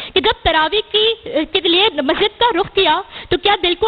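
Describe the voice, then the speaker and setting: Noticeable background noise is present. Over it, the voice rises and falls in a lively way. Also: woman. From Pakistan. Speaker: debater, public speaker; college student. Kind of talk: competition speech, religious oration. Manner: impassioned, declamatory.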